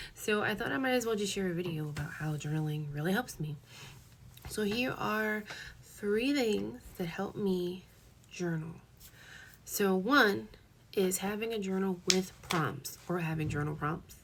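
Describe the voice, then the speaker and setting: A woman's medium-pitched voice with lively intonation, a fairly slow pace, long and frequent pauses, and audible room echo. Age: 20s. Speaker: lifestyle vlogger. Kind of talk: casual tutorial vlog.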